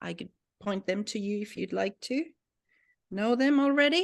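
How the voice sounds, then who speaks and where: With a Finnish accent, a woman talks at a moderate pace against a quiet background. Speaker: language teacher. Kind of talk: tutorial. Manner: hesitant.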